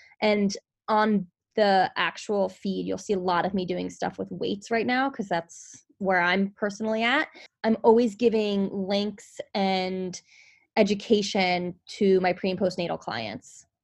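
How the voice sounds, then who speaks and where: Speaking at a fairly slow pace, a woman with a New York accent keeps her medium pitch in a fairly even intonation. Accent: New York area. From New Jersey. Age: 30s. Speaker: personal trainer. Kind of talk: casual interview chat.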